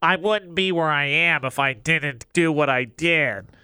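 A man puts on a nasal character voice with a smug tone, fairly high pitch and moderate pace. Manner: annoying, smug.

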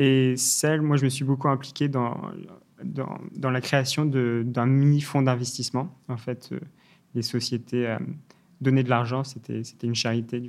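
A man talks at a fairly slow pace with long, frequent pauses. His medium-pitched voice has monotone, flat intonation. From England, London; Irish mother, French father. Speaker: startup founder. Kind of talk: interview. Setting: studio. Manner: halting, many repetitions and fillers.

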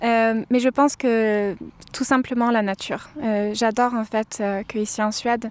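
Her voice fairly high in pitch, a woman speaks with monotone, flat intonation. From southern France, Cévennes. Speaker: student living abroad. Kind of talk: interview. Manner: halting.

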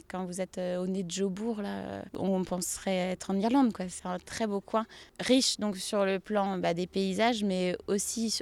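Speaking at a fairly slow pace, a woman of medium pitch uses fairly even intonation in an ordinary speaking voice. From western France, Pays de la Loire (Saint-Nazaire, Nantes). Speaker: family doctor. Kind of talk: casual interview on a farm tour. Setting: outdoors at her stables.

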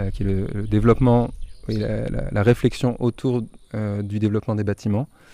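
A man's dark, mellow voice at medium pitch, with fairly even intonation. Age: 20s. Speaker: eco-campus volunteer coordinator. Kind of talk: interview. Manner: halting, many hesitations.

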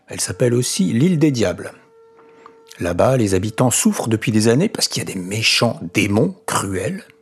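A man's warm, animated tone at a medium pitch, with very wide pitch swings and music in the background. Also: moderate pace. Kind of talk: bedtime story telling. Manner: warm, chatty storyteller who breaks off to ask listeners questions and comment; animated, playing the characters with different voices and sound effects.

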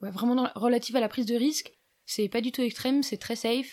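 On a very clean recording with a silent background, a woman with a normal speaking voice talks at a fairly high pitch with fairly even intonation. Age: 20s. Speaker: electronics engineer and highline instructor. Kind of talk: casual interview. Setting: at the guest's home.

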